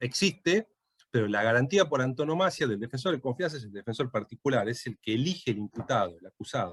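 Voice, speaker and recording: A man speaks at a fairly quick pace with lively intonation and a medium pitch, somewhat breathy. His loudness swings widely, and the sound is dry and close with no echo. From Tucumán, Argentina. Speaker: lawyer and law lecturer. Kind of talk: lecture. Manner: hesitant, many fillers.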